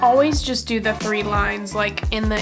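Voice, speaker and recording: With music playing behind her, a woman talks at a moderate pace. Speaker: makeup youtuber. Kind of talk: makeup tutorial talk to camera. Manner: casual.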